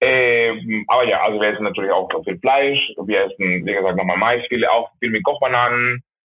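Speaking at a fairly quick pace, a man talks with a Spanish accent. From Venezuela, Maracaibo. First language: Spanish (speaking German). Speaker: restaurant owner. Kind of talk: phone interview. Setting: phone call. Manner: halting.

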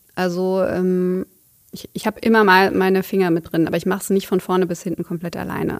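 Medium pitch marks this voice. The speaker is a woman. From Cologne, Germany. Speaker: wedding photographer. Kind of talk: casual interview. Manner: halting, many fillers.

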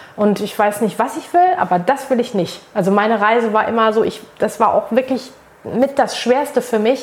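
A woman speaks at a moderate pace in a fairly high pitch. Noticeable background noise runs underneath. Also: ordinary pitch variation. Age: 30s. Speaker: social media manager and make-up artist. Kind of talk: casual interview conversation.

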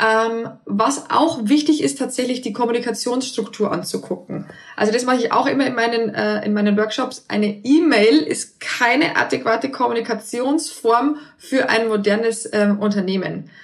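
With noticeable background noise behind her, a woman talks at a moderate pace with ordinary pitch variation. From Bavaria, near Passau. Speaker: remote work consultant, founder. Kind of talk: interview. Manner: hesitant, many fillers.

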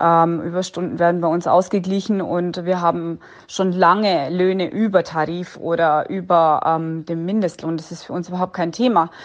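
With hardly any pauses, a woman in a normal speaking voice talks at a moderate pace with a fairly low pitch and fairly even intonation. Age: 30s. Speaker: hotel-restaurant owner. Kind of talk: interview answer.

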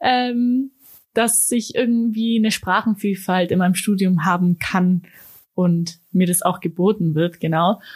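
A somewhat breathy woman speaks at a fairly slow pace with very even loudness and ordinary pitch variation. The recording is very clean, with a silent background. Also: medium pitch for a woman. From Germany (Ulm), partly Austria. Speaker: university student. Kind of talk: interview. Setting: studio.

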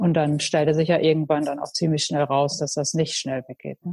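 A woman speaks at a fairly quick pace with a very deep, low pitch. Her tone is dark and mellow, and her intonation stays fairly even. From Münsterland, Germany. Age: 40s. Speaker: pottery studio owner. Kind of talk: casual interview. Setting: online call. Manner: hesitant, many fillers.

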